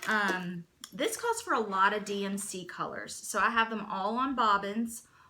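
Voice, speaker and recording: Speech comes at a moderate pace with fairly even intonation. Noticeable background noise is present. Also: woman, fairly high pitch for a woman. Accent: American. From US South, east Tennessee. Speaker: cross stitch vlogger. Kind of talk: casual chat.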